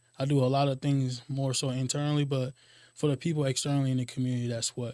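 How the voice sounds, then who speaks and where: Monotone, flat intonation marks a man speaking at a very fast pace in a very clean recording with a silent background. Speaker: health clinic outreach program manager. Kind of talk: interview. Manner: halting, many fillers.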